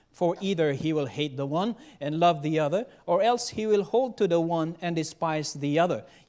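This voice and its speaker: The man has a high pitch and keeps a moderate pace, his pitch varying in an ordinary way, all over a quiet background. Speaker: preacher. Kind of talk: sermon. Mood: solemn, earnest. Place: church. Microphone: podium.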